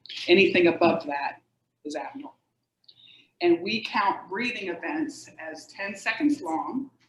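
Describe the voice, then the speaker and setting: At a fairly slow pace, a woman with a medium pitch makes very wide pitch swings and leaves long, frequent pauses. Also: big swings in loudness. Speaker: sleep medicine expert. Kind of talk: educational talk. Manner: animated.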